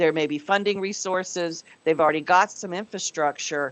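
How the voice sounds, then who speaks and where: At a moderate pace, a woman speaks in a plain, everyday voice at medium pitch. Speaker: committee meeting chair. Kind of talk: business meeting presentation.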